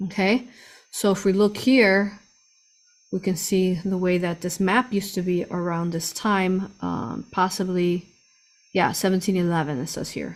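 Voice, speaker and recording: This woman uses an ordinary speaking voice with a medium pitch. Her intonation is fairly even, and her pace fairly slow. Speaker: spiritual channel host, remote viewer. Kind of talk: live stream talk to chat.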